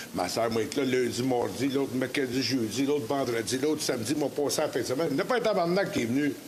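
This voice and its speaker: Medium-pitched male speech in a Quebec accent, fairly quick with lively intonation, plus audible room echo and noticeable background noise. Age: 60s. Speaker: former martial arts champion, heart surgery patient. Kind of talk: interview on live talk show. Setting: live broadcast from a brewpub.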